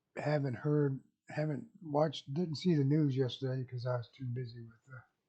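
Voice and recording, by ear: Over a quiet background, the clip is reading aloud in a natural voice, with fairly even intonation.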